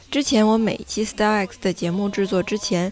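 Music plays in the background. Over it, a woman speaks in a fairly high voice. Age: 30s. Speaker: podcast host. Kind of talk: casual chat. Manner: unscripted, off-the-cuff.

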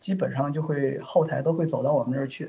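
A man with a plain, everyday voice talks at a fairly quick pace, fairly high in pitch, with fairly even intonation. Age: 30s. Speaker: software tester. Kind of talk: casual interview.

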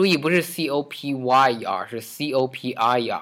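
A man speaks at a fairly slow pace in an ordinary speaking voice. His pitch is medium with ordinary variation. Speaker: English teacher podcast host. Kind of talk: language lesson.

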